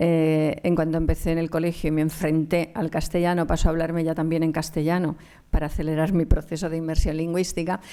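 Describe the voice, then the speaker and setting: A woman with a Galician accent, fairly low in pitch, dark and mellow in tone, monotone and flat in intonation, at a fairly quick pace. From Catalonia, raised in Barcelona area after Galicia. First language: Galician (speaking Spanish). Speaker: anthropologist and lecturer. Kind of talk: conference talk. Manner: hesitant, many fillers.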